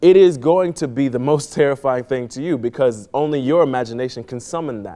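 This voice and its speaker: With an American accent and a dark, mellow tone, the voice moves at a moderate pace with ordinary pitch variation. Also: man. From Miami, Florida. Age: 30s. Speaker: playwright and poetry mentor. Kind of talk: tutorial.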